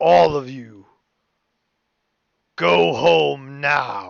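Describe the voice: A man puts on a character voice at medium pitch, swinging very widely up and down in pitch.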